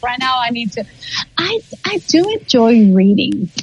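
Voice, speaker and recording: Noticeable background noise sits behind a woman who speaks fairly slowly at a high pitch. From Guatemala. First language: Spanish. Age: 40s. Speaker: ESL teacher. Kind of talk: interview.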